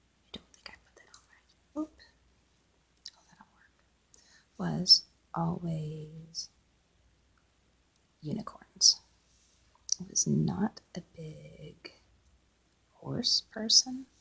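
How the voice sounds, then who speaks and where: Soft-spoken delivery at a very slow pace, broken by long, frequent pauses. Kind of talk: ASMR soft-spoken chatter while doing a craft. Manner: soft-spoken, chatty.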